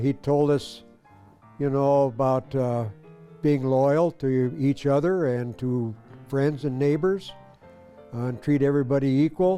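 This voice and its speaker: Long, frequent pauses break up speech with ordinary pitch variation. Music plays in the background. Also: man. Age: 80s+. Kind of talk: interview answer.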